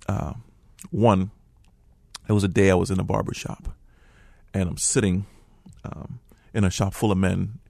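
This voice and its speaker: Speaking with an American accent at a moderate pace, a man uses a fairly low pitch, a dark, mellow tone and ordinary pitch variation, with long, frequent pauses. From Liberia. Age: 40s. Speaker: refugee and forgiveness speaker. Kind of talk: personal testimony interview. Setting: radio studio. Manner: halting, with many repetitions.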